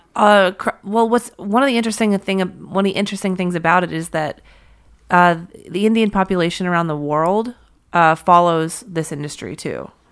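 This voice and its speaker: On a very clean recording with a silent background, a woman talks at a fairly quick pace in a plain, everyday voice with ordinary pitch variation. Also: medium pitch for a woman. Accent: American. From US, Pittsburgh. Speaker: touring violinist and singer-songwriter. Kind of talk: casual interview chat.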